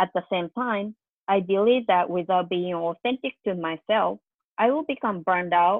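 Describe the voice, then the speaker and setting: A woman speaks in a plain, everyday voice at a medium pitch and moderate pace, with ordinary pitch variation. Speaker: higher education advisor and faculty. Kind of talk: casual panel discussion.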